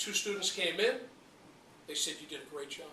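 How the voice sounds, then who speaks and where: Noticeable background noise runs under the clip. A man talks in a high-pitched voice. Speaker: public speaking learner. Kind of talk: speech to an audience.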